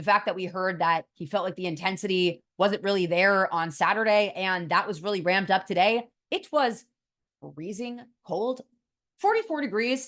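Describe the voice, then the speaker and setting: With an American accent, a woman speaks at a moderate pace and medium pitch, using ordinary pitch variation in an unremarkable speaking voice. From US West Coast, San Francisco Bay Area. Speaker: college football reporter. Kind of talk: solo sports analysis show.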